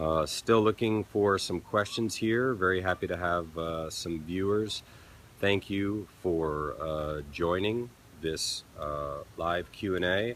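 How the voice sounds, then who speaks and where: A man's very deep, low voice at a very slow pace, with ordinary pitch variation. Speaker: peak performance consultant. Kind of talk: live stream Q&A talk. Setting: live stream from a resort. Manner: speaking louder after viewer complaint.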